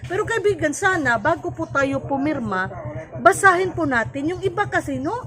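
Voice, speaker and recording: In a Visayan accent, a high-pitched woman speaks at a moderate pace with very wide pitch swings over noticeable background noise. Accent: Visayan accent in Tagalog. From Cebu, Philippines. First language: Cebuano (speaking Tagalog). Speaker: vlogger and life coach. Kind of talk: educational vlog. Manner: halting.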